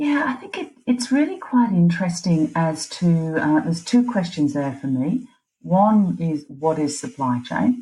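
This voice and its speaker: Fairly low in pitch and somewhat breathy, a woman's dark, mellow voice swings very widely in pitch at a fairly slow pace. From northeast England, Newcastle. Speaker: supply chain director. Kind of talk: podcast interview.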